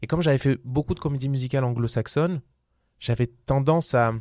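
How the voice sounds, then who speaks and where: Recorded very cleanly against a silent background, with a dry, close sound and no echo, a man talks at a fairly quick pace in a dark, mellow tone with ordinary pitch variation. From southern France, Vaucluse. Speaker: musical theatre actor and producer. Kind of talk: casual interview. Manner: hesitant, many fillers and repetitions.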